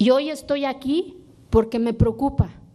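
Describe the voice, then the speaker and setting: The woman speaks at a fairly slow pace with ordinary pitch variation. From Oaxaca, Mexico (Sierra Sur). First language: Zapotec (speaking Spanish). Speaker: legislator. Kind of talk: parliamentary speech.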